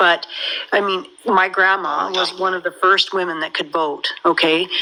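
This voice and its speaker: A woman at a medium pitch with an American accent, fairly slow and fairly even in intonation, amid noticeable background noise. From United States. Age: 50s. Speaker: caller. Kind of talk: casual chat.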